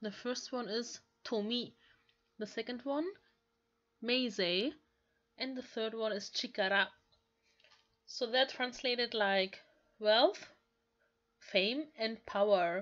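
With a strong non-native accent, a woman speaks at a very slow pace and a fairly high pitch. She leaves long, frequent pauses. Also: ordinary pitch variation. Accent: thick non-native English. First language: not English. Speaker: language learner and YouTuber. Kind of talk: casual language-lesson talk to camera.

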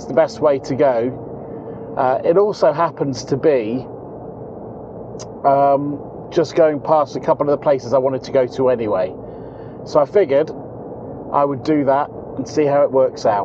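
A man speaks at a moderate pace with long, frequent pauses and ordinary pitch variation, the sound dry with no echo amid noticeable background noise. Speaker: travel vlogger. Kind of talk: casual vlog chat. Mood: mildly concerned, calm. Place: car. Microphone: lapel.

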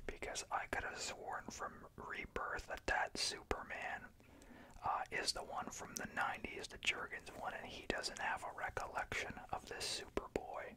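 Someone whispers, soft-spoken, at a fairly slow pace. Noticeable background noise runs underneath. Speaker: comic book reviewer. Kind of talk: casual review commentary. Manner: soft ASMR whisper. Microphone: phone near.

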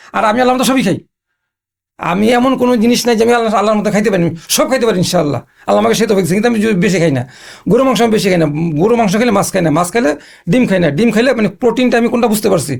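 A man's high-pitched voice holds a very even loudness throughout. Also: ordinary pitch variation. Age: 60s. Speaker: patient sharing recovery story. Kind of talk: testimony.

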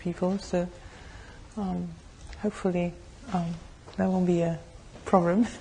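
Pitched fairly low, a woman speaks at a fairly slow pace with a monotone, flat intonation and long, frequent pauses. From France. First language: French. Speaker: Buddhist nun, meditation teacher. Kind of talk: dharma talk introduction to a group.

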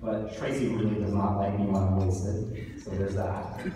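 At a moderate pace, a man with an American accent speaks in a fairly low, monotone, flat voice, with noticeable background noise and strong room echo. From US, New York City. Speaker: author and awards host. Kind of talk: awards ceremony speech. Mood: heartfelt, personal. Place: hall. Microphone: camera far.

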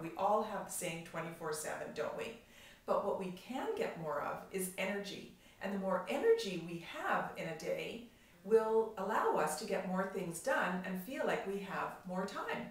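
A woman speaks in an upbeat tone at a moderate pace and medium pitch. Her pitch varies in an ordinary way, and audible room echo can be heard. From Canada. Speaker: professional organizer and productivity coach. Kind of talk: casual talk to camera. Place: home room. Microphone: camera far.

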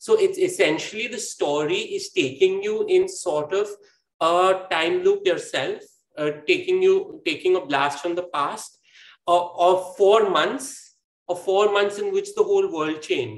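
The speech moves at a fairly slow pace, with audible room echo around it. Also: man. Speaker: guest. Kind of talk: interview answer. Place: home room. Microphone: video call.

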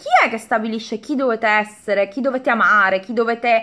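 Her voice is fairly high and her tone animated. The woman speaks over a quiet background. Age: 40s. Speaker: beauty YouTuber; vlogger. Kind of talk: casual vlog chat; casual vlog chat, storytime. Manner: halting. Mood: defiant, animated. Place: home room. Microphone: phone near.

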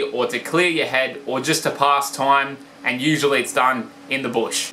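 With an Australian accent, a man talks at a moderate pace and fairly even intonation over light background noise. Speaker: comedy vlogger. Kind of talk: comedic explainer talk to camera. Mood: deadpan humorous. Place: home room. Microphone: phone near.

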